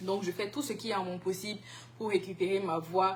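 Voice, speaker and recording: A woman speaks with a bright, sharp tone. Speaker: singer. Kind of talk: interview. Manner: halting.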